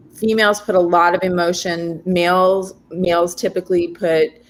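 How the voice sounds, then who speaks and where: A woman with an American accent speaks at a fairly low pitch with fairly even intonation. Noticeable background noise runs underneath. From Ohio, Cincinnati. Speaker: vocal coach and songwriter. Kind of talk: casual chat.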